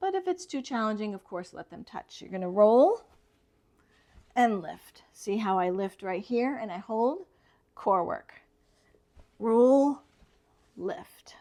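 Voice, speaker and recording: A woman's fairly high-pitched voice with a dark, mellow tone and a calm tone, at a very slow pace with long, frequent pauses, big swings in loudness and very wide pitch swings. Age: 60s. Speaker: yoga instructor. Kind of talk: tutorial. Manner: calm, instructive.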